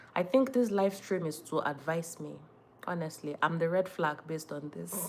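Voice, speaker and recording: Speaking at a moderate pace with a Nigerian accent, a woman with a fairly low voice uses lively intonation on a very clean recording with a silent background. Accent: Nigerian (Yoruba) English. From Nigeria, Ondo State (Yoruba). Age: 30s. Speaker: lifestyle content creator. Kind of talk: casual live-stream chat. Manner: animated.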